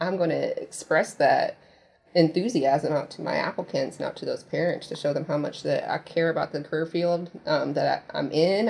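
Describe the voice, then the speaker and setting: A woman with a Midwestern American accent speaks at a fairly quick pace over noticeable background noise. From US Midwest, Indiana. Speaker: military recruiter. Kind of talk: interview.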